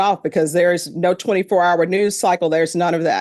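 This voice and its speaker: A woman with a Louisiana accent talks at a moderate pace against a quiet background. Her pitch is medium, with ordinary variation. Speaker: judge. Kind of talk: address to jury panel. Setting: courtroom. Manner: conversational.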